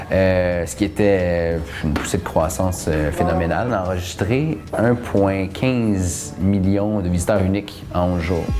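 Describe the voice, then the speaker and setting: Speech at a fairly slow pace with hardly any pauses and ordinary pitch variation, with audible room echo and music in the background. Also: man, very deep, low pitch for a man. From Quebec. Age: 30s. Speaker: festival co-founder and arts manager. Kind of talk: documentary interview.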